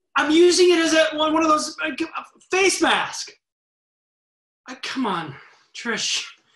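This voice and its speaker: In a quiet background with audible room echo, a man speaks at an extremely high pitch and a very slow pace, with ordinary pitch variation and long, frequent pauses. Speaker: actor. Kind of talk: scripted virtual theater monologue, couple bickering over video call. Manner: sheepish, defensive, hesitant. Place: kitchen. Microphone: webcam.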